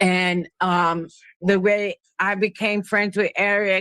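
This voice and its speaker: The speech comes very slowly, with a New York accent. It is a very clean recording with a silent background. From Brooklyn, New York. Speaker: panel guest. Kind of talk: casual chat.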